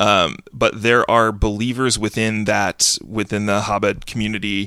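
On a very clean recording with a silent background, a man with an American accent speaks fairly slowly in a fairly low pitch, his tone bright, sharp and playful yet his intonation monotone and flat. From US South. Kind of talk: casual comedy podcast chat. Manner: joking, playful.

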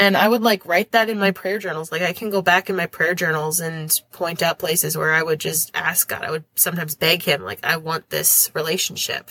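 A woman with an Upper Midwest US accent talks at a fairly quick pace, leaving hardly any pauses. Her pitch is fairly low, her intonation fairly even, and the sound is dry and close with no echo. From Minnesota, US. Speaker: teacher. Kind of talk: casual interview.

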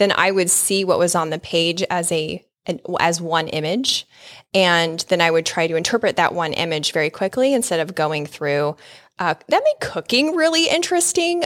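Recorded dry and close with no echo, a woman with a plain, everyday voice speaks at a moderate pace and a fairly low pitch, with ordinary pitch variation. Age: 40s. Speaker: podcast host. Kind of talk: casual chat.

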